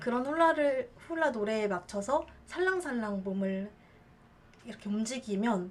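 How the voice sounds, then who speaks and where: A woman with a fairly high pitch talks at a fairly slow pace, her intonation lively. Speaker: hula dancer and teacher. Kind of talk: casual talk to camera.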